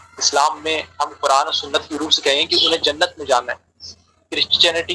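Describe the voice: This man's voice has a husky, rough edge and a bright, sharp tone. He talks at a fairly quick pace.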